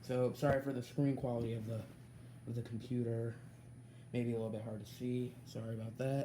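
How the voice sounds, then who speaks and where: The speech moves at a fairly quick pace in a flat, monotone delivery, somewhat breathy and broken by long, frequent pauses. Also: man, medium pitch for a man. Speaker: gaming YouTuber. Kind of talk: tutorial. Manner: halting.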